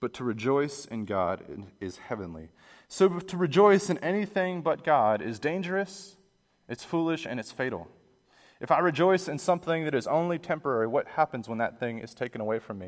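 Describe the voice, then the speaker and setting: On a very clean recording with a silent background, a man with an American accent speaks at a fairly quick pace and a fairly high pitch, with very wide pitch swings and big swings in loudness. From Pittsburgh, US. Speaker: pastor. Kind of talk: sermon. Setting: church.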